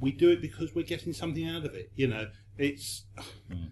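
A man speaks at a fairly high pitch with vocal fry. His tone is dark and mellow. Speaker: magazine editor. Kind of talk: panel discussion.

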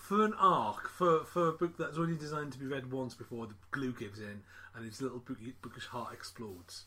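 It's a plain, everyday voice at a fairly quick pace with lively intonation. The loudness makes big swings. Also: man, medium pitch for a man. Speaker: podcast host. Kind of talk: casual chat. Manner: chatty, jokey.

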